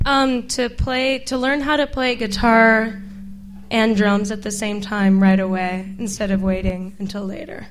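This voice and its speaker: A woman with a normal speaking voice at a fairly slow pace. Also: medium pitch for a woman, ordinary pitch variation. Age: 20s. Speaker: musician. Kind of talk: casual interview. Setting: stage with audience.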